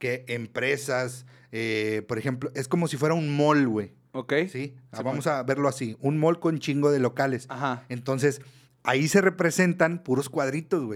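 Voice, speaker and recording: A man speaks fairly slowly in a plain, everyday voice, medium in pitch with ordinary variation. The recording is very clean with a silent background. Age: 30s. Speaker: podcast co-host. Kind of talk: casual chat.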